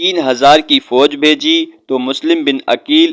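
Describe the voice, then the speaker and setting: This man has a fairly high pitch. His is an unremarkable speaking voice. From Pakistan. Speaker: voice-over artist. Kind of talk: religious history narration.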